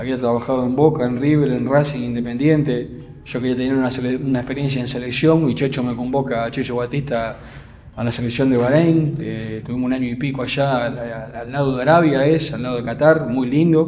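A man with an Argentine accent, medium pitch and fairly even intonation, at a fairly quick pace over light background noise. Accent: Rioplatense Argentine Spanish. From Buenos Aires area, Argentina. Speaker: football coach, former goalkeeper; football coach. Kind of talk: interview. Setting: club gym. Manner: halting, frequent repetitions. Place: gym. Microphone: studio mic.

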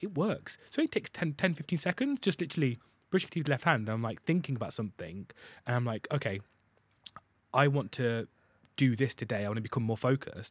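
A man speaks at a fairly quick pace with lively intonation, leaving long, frequent pauses. The sound is dry with no echo and the background is quiet. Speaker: podcast host. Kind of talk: casual chat. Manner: animated, gets loud. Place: studio. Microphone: studio mic.

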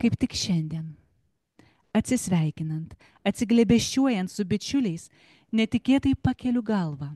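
Somewhat breathy and dark, mellow in tone, a woman speaks with long, frequent pauses in a dry sound with no echo. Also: lively intonation, moderate pace, quiet background. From Lithuania. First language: Lithuanian. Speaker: poet. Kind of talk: poetry reading; literary reading. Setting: live event in a library. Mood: calm, reflective. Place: hall. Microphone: handheld.

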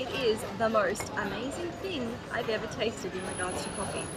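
A woman speaks with ordinary pitch variation against loud background noise. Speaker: travel vlogger. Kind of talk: casual vlog chat. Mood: cheerful, enthusiastic. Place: cafe. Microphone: phone near.

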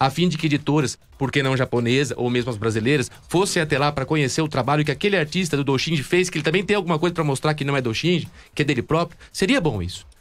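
At a very fast pace, a man speaks with a fairly high pitch and lively intonation. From Brazil. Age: 30s. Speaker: fan project creator. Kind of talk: casual interview. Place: studio. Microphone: studio mic.

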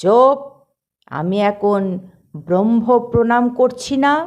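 A bellowing, gruff put-on character voice with fairly high pitch at a moderate pace. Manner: roaring, gruff.

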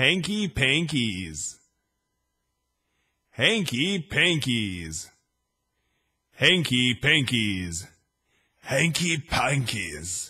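Against a quiet background, a man with a bright, sharp tone and vocal fry talks at a very slow pace, with very wide pitch swings and long, frequent pauses. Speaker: voice-over artist. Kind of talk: casual test takes. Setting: home studio. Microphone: studio mic.

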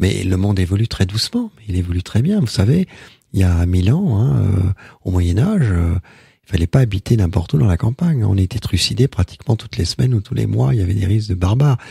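A somewhat breathy, dark and mellow tone with lively intonation at a fairly quick pace, in a dry, close sound without echo. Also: man, fairly low pitch for a man. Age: 60s. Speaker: storyteller and author on Celtic shamanism. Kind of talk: radio interview. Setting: radio studio. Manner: halting, frequent repetitions.

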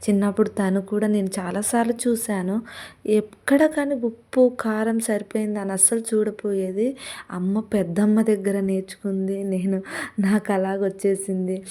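Her medium pitch carried in a dark, mellow tone, a woman speaks with fairly even intonation. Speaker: vlogger. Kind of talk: casual vlog cooking narration. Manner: loud.

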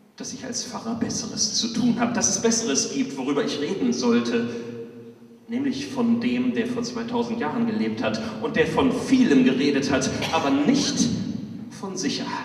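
Audible room echo surrounds a man's voice. His pitch is extremely high, with lively intonation. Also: moderate pace. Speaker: pastor. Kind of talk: poetry slam performance. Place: church.

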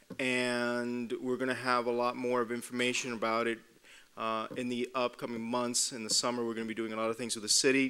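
Bright and sharp in tone, a man's voice moves at a fairly quick pace in a monotone, flat delivery. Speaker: physician lecturer. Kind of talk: public talk to an audience. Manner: halting, many fillers. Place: hall. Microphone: podium.

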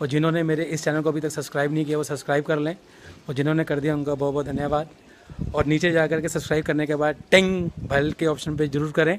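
Delivery comes at a fairly quick pace with monotone, flat intonation. Light background noise can be heard. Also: man. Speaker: travel vlogger. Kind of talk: casual vlog chat. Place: street. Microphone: phone near.

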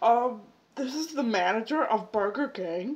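In a put-on character voice, a woman speaks at a fairly high pitch over a quiet background. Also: moderate pace. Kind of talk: prank phone call, put-on official voice. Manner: disguised voice.

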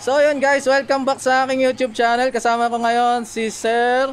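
A man talks while faint music plays behind him. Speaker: cycling vlogger. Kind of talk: casual vlog tutorial. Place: shop. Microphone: phone near.

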